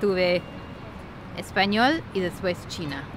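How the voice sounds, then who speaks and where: A woman talks at a fairly slow pace with a slight Argentine accent. Noticeable background noise is present. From US. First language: English (speaking Spanish). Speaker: vlogger. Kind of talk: casual vlog storytelling.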